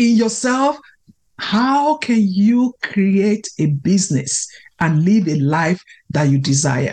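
At a very slow pace, a woman speaks in a medium pitch that is somewhat breathy and moves in very wide pitch swings. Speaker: podcast host. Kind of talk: solo podcast monologue, motivational talk.

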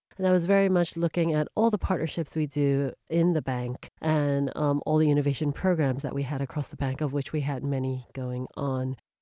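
Very deep and low in pitch, a woman with a dark, mellow tone talks at a fairly quick pace in a dry, close sound with no echo, on a very clean recording with a silent background. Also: ordinary pitch variation. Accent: New York. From US, New York. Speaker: bank executive. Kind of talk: interview.

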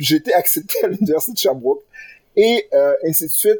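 At a moderate pace, a man speaks with a dry, close sound that has no echo. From Quebec, Granby. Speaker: lawyer, bar association president. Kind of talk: interview. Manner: halting, many repetitions.

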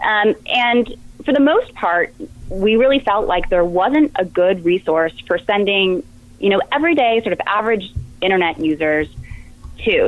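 A woman with a normal speaking voice talks at a medium pitch and with lively intonation. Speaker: project manager at research lab. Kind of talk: interview answers, explaining a tool.

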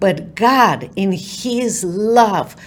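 A woman's medium-pitched voice with a Romanian accent and ordinary pitch variation. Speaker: author, attorney and keynote speaker. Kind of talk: interview with inspirational talk. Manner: earnest, faith-driven.

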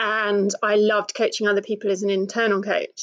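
A woman with a British accent speaks at a moderate pace in a fairly high pitch. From Britain. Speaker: new coach. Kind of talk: interview.

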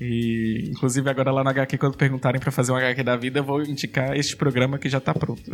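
Very fast, monotone delivery from a man, flat in intonation, very even in loudness and with hardly any pauses. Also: medium pitch for a man. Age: 30s. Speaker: professor, podcaster and drag artist. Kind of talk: casual interview.

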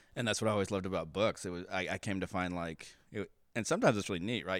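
The recording is very clean, with a silent background. A man with an American accent talks very fast in a fairly low, monotone, flat voice. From Kansas and Texas (Kansas City suburbs). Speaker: church member interviewee. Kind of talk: casual interview.

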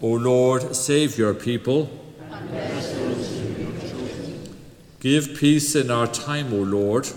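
A man at a very slow pace amid noticeable background noise. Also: medium pitch for a man, fairly even intonation. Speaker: service leader or minister. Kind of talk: church liturgy, prayers and responses. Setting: church.

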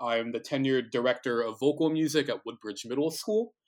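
In an American accent, a man with an unremarkable speaking voice talks at a moderate pace with a medium pitch and ordinary pitch variation, on a very clean recording with a silent background. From New Jersey. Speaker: baritone singer and music teacher. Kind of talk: casual interview.

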